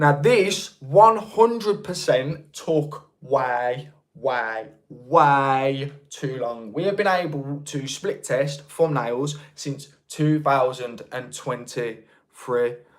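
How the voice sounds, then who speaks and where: Speaking very slowly with a Birmingham accent, a man uses lively intonation at a fairly high pitch. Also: hardly any pauses. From England, North Birmingham. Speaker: YouTube creator, livestream host. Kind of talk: casual livestream chat. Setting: livestream.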